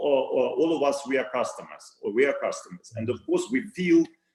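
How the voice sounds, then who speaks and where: The voice carries a Russian accent. It moves at a moderate pace. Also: man. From Russia, Saint Petersburg. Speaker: retail company CEO. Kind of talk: interview. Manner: halting, many fillers and repetitions.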